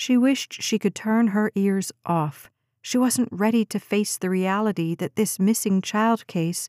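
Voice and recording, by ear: In a natural voice, someone reads aloud over a quiet background, pitch shifting in an ordinary way.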